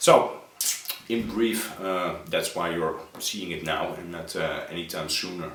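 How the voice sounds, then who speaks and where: A man speaks with a very deep, low pitch and fairly even intonation, and the room echo is audible. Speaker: RC model builder. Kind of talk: tutorial. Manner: hesitant, many filler uhs.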